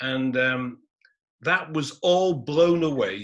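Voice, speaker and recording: With a Manchester accent, a man talks in a fairly even intonation. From northern England, Manchester (Gorton). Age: 60s. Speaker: historian. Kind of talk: panel talk.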